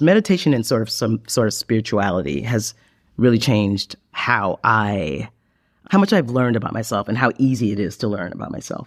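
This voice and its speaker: Speaking at a fairly quick pace, a man uses a medium pitch with ordinary pitch variation. The recording is very clean, with a silent background and a dry, close sound with no echo. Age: 50s. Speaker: podcast guest seeking a partner. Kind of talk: casual interview chat. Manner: halting, with frequent restarts.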